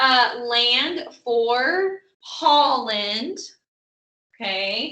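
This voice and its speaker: The woman speaking uses lively intonation. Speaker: teacher. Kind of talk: online lesson. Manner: animated.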